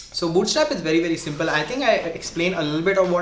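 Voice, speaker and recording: A man with a strong Indian accent, fairly high pitch and a very fast pace, with audible room echo and noticeable background noise. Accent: heavy Indian. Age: 20s. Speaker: programming tutor / streamer. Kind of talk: live-stream coding tutorial. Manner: casual, hesitant with fillers.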